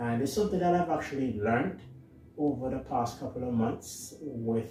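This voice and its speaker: A man in an Antiguan accent at a moderate pace, with audible room echo. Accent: Antiguan Caribbean. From Antigua and Barbuda, Caribbean. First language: Antiguan Creole (patois). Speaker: YouTuber. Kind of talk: casual monologue. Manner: halting, many fillers.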